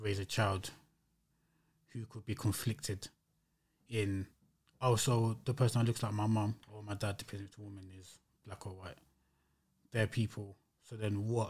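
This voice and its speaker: A man speaks at a moderate pace in a fairly low, somewhat breathy voice. His intonation stays fairly even. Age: 30s. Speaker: musician. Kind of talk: casual chat.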